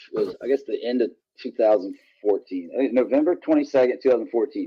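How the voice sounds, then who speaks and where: Very fast speech in a Virginia accent. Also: man. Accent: Virginia Southern. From Virginia, small town. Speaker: country musician. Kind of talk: interview. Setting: studio. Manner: halting.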